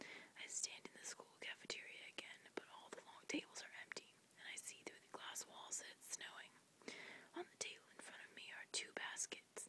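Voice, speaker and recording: A woman whispers at a moderate pace. Her loudness swings a lot. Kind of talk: read story. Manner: whispered.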